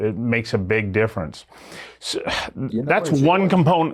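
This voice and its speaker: The speaker has a normal speaking voice. The intonation is lively. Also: man. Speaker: talk show host. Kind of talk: interview questions, conversational.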